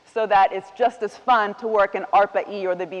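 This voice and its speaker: A woman talks at a moderate pace with an American accent. Noticeable background noise runs underneath. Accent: sounds American. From Italian, raised partly in the US. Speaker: economics professor, keynote speaker. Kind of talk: keynote lecture. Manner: conversational, many fillers.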